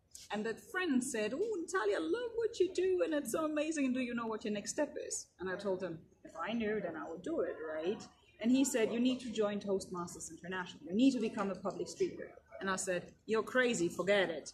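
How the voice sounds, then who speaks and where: A woman's fairly high voice with very wide pitch swings, at a fairly quick pace. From Germany. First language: German. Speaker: keynote speaker. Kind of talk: interview. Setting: conference.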